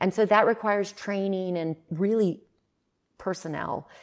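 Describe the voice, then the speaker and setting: A woman's medium-pitched voice, a normal speaking voice, with ordinary pitch variation in a very clean recording over a silent background. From Greece, moved to US at five. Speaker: beverage company co-founder and CEO. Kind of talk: interview conversation.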